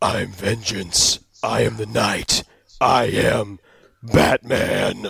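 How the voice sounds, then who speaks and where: Using a raspy, put-on character voice with a fairly low pitch, a man speaks at a very slow pace. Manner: grim, intense.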